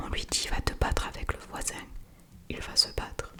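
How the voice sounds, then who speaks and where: Noticeable background noise fills the recording. Through it, a woman whispers at a moderate pace. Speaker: ASMR creator. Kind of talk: ASMR whispered book reading. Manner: whispered.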